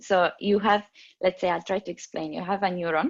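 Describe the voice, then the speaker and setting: In an Italian accent, a woman speaks at a medium pitch with ordinary pitch variation. The background is quiet. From Italy. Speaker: neuroscience PhD researcher. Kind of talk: interview. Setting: video call. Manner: halting.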